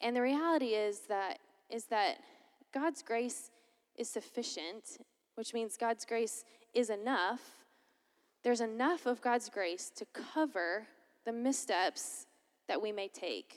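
Speaking fairly slowly in an American accent, a woman uses a fairly high pitch with ordinary pitch variation and long, frequent pauses. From Florida, US South (Lakeland). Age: 20s. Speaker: college minister. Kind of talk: chapel talk. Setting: chapel with audience.

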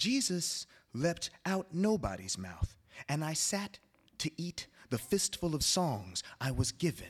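Speaking at a very slow pace with an American accent, a man with a fairly high pitch makes very wide pitch swings. The sound is dry and close, with no echo. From Los Angeles area, California. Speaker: poet. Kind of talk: poetry reading.

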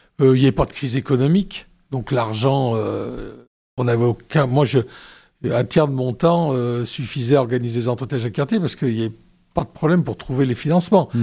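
A man with a dark, mellow tone, medium pitch and ordinary variation, at a fairly quick pace in a very clean recording with a silent background. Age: 60s. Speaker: demographer and research director. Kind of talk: radio interview. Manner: hesitant, with many fillers.

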